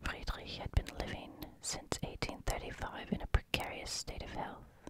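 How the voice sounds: A croaky whisper. It keeps a moderate pace.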